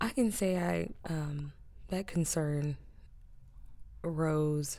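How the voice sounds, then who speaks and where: With an American accent, this woman has a very deep, low pitch and fairly even intonation. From Indianapolis, US Midwest. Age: 20s. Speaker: customer service rep and aspiring artist. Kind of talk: interview. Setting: studio.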